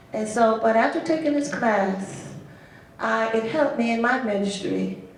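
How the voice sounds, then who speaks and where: A woman speaks with an American accent, with noticeable background noise and audible room echo. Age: 70s. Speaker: associate minister and hospital chaplain. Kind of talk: panel discussion.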